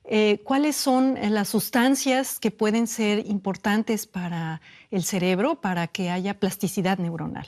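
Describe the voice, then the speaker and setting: Against a quiet background, a woman with a Mexican accent talks at a very slow pace with lively intonation. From Mexico. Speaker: neurobiologist. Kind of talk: interview answer.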